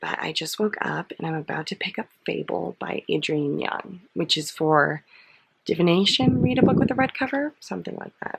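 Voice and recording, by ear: This quiet, raspy put-on character voice sits at a middle pitch. It moves at a moderate pace.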